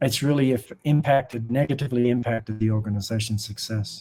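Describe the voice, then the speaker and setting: A man speaks with an Australian accent. His tone is dark and mellow. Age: 60s. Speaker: humanitarian charity director and former monk. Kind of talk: podcast interview.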